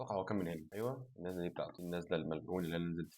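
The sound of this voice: The speech comes at a very fast pace, with fairly even intonation and a slightly mellow tone. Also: man.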